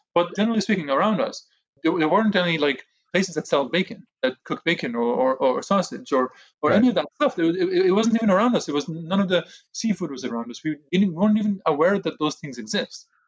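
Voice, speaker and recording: Very fast and lively in intonation, a man speaks at a high pitch. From Israel (Jerusalem), Haredi community. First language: Hebrew. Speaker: podcast guest, former ultra-Orthodox law graduate. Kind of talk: casual interview conversation. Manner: halting, many repetitions.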